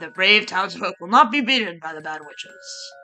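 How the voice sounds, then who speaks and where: The speaker uses a put-on character voice at a middle pitch. Clear music plays in the background. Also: moderate pace. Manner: grandiose, heroic.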